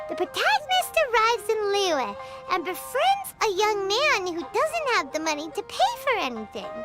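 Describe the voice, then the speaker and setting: A put-on character voice sits at an extremely high pitch. Loud music plays in the background. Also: moderate pace. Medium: video game. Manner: excitable, fast, exclamatory.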